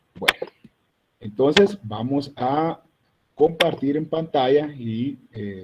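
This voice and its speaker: A man's somewhat breathy, fairly high-pitched voice with lively intonation. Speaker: university lecturer. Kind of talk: online lecture. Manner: serious.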